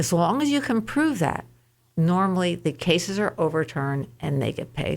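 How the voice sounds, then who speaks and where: On a very clean recording with a silent background, a woman with a fairly low pitch talks at a moderate pace with very wide pitch swings. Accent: American. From New York State. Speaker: insurance claims advocate. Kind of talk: radio interview.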